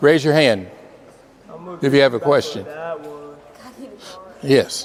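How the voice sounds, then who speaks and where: Noticeable background noise surrounds this voice. It has an American accent and ordinary pitch variation. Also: man, fairly high pitch for a man, fairly slow pace. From Miami, Florida. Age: 70s. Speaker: pastor and former basketball player. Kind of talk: motivational talk to school students. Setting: middle school classroom. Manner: firm, commanding.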